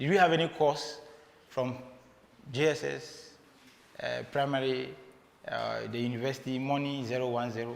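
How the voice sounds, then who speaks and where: A man speaks at a moderate pace with a Ghanaian accent, leaving long, frequent pauses. Noticeable background noise and audible room echo fill the recording. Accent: Ghanaian English, non-native pronunciation. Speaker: motivational speaker, flight engineer. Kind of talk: motivational talk. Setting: stage with audience, livestreamed. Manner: conversational, halting.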